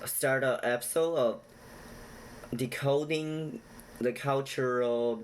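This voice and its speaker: A man with a medium-pitched voice and a non-native accent speaks at a very slow pace with ordinary pitch variation. He leaves long, frequent pauses. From China. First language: not English. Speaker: YouTuber explaining Chinese culture. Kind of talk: casual direct-to-camera talk; storytelling retelling. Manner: halting with many fillers.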